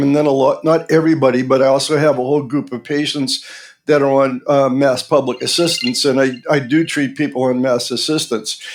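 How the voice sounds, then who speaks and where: With a Boston accent, a man talks at a fairly quick pace in a fairly high pitch. His intonation is fairly even, and background noise is noticeable. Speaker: pediatric dentist. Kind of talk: interview podcast.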